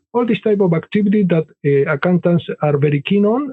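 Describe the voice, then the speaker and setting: A man speaks with an Argentine accent. His pitch is high. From Argentina. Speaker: business consultant and author. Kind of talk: podcast interview.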